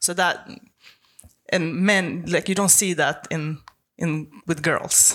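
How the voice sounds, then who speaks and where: A woman's very slow speech in a Swedish accent, fairly low in pitch with fairly even intonation and long, frequent pauses. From Sweden, Stockholm. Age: 20s. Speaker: professional arm wrestler. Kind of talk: casual interview.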